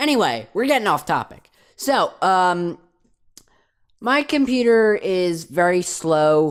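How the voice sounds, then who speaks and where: Someone with a New Jersey accent talks at a very slow pace with long, frequent pauses on a very clean recording with a silent background. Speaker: YouTuber. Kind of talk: casual Q&A vlog. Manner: hesitant, many fillers.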